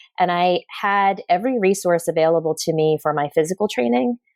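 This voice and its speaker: A woman with an unremarkable speaking voice, an American accent and fairly even intonation. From US. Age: 40s. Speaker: performance psychologist. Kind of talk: interview.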